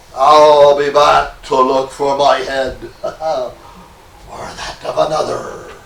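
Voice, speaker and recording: A man puts on a character voice pitched fairly high for a man. He speaks at a very slow pace, with a slight echo. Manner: menacing.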